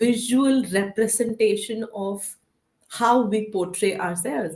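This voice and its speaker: Somewhat breathy and at a fairly high pitch, a woman talks at a fairly slow pace. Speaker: counselor and educator. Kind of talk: casual discussion.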